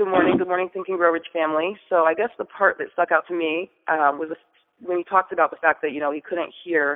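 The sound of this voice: Fast and fairly even in intonation, a woman with a fairly low pitch speaks in a dry, close sound with no echo.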